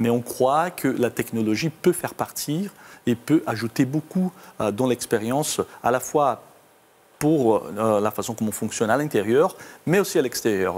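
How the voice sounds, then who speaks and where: A man's medium-pitched voice, lively in intonation, moves at a fairly slow pace. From Brazil. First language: Portuguese (speaking French). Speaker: company IT executive. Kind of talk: interview. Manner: halting, many hesitations.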